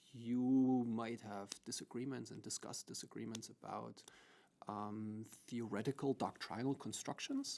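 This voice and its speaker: A man with a German accent speaks at a fairly slow pace in a medium pitch. His tone is dark and mellow, and his intonation is monotone and flat. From Germany. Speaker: law professor. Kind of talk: podcast interview.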